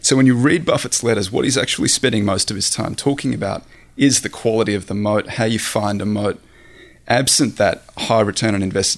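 A man speaks with an Australian accent at a fairly low pitch. His pace is fairly quick, with ordinary pitch variation.

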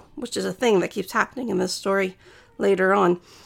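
The voice carries vocal fry. Its intonation is lively. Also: woman. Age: 30s. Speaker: podcast host retelling bible stories. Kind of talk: casual storytelling. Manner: casual, conversational with fillers.

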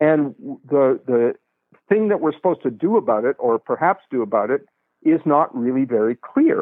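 A man speaks in a plain, everyday voice. His intonation is lively. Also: fairly high pitch for a man, moderate pace. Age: 60s. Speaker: author. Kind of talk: interview. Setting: remote call.

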